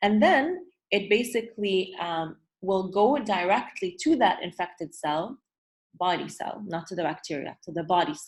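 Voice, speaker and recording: This woman has an ordinary speaking voice at a medium pitch, with lively intonation. She keeps a moderate pace while her volume swings widely. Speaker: teacher. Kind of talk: online review lesson. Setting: video call.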